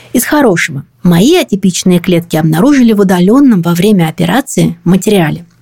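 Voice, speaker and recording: A woman talks at a fairly quick pace with hardly any pauses, her medium pitch carrying lively intonation. Her tone is dark, mellow and somewhat breathy, and her loudness stays very even. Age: 40s. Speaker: podcast host. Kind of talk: scripted narration.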